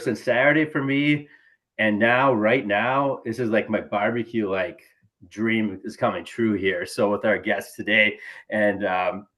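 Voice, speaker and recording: A man's medium-pitched voice, fairly slow, with ordinary pitch variation. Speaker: podcast host; teacher. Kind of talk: casual chat.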